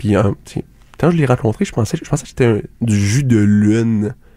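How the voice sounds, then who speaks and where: In a Quebec accent, a man speaks at a moderate pace with a medium pitch, a dark, mellow tone, a somewhat breathy quality and ordinary pitch variation. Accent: Québécois French. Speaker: radio comedy host. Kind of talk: absurd comedic monologue. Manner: halting, many fillers.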